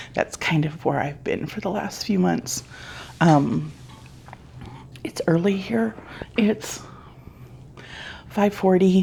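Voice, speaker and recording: A quiet woman at fairly low pitch, very slow with long, frequent pauses and lively intonation, amid noticeable background noise. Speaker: crochet YouTuber. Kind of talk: casual vlog talk. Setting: home, early morning. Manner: quiet, hushed.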